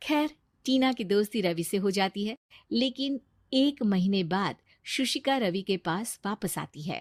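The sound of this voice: In a very clean recording with a silent background, a woman of medium pitch speaks at a fairly slow pace with lively intonation, the sound dry and close with no echo.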